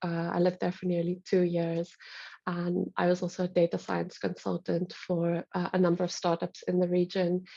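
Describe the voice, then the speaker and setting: At a moderate pace, a woman speaks with a dark, mellow tone and fairly low pitch in monotone, flat intonation, the sound dry and close with no echo. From South Africa. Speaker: investor presenting to copiers. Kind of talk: conference call presentation. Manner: casual with many fillers.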